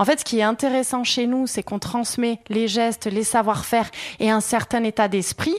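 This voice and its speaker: In a very clean recording with a silent background, a woman with a normal speaking voice talks at a moderate pace, her pitch fairly high and her intonation fairly even. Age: 30s. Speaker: craftswoman, workshop owner. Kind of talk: interview. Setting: workshop.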